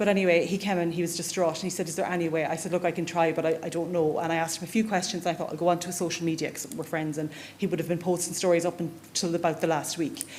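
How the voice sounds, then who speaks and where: Very fast, flat, monotone speech from a fairly low-pitched woman in an Irish accent, with audible room echo and noticeable background noise. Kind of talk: conference talk.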